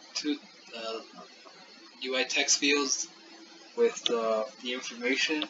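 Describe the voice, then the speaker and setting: A man speaks with fairly even intonation while noticeable background noise carries on. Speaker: student. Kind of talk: class project presentation. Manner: monotone.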